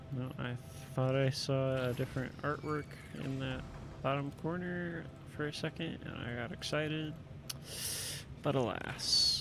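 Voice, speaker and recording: The speaker is soft-spoken and talks at a fairly slow pace with fairly even intonation and long, frequent pauses. Audible room echo and noticeable background noise come through. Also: man, medium pitch for a man. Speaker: gaming video creator. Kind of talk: casual commentary while unboxing. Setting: home recording, wearing headphones. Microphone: speaking close to the mic, may be too quiet.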